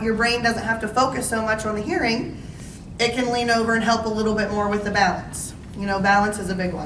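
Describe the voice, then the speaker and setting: The speech runs at a very fast pace with fairly even intonation, amid noticeable background noise and audible room echo. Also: woman. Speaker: audiologist. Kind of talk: informational talk to seniors. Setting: talk to residents in a senior living community, with mic. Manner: loud.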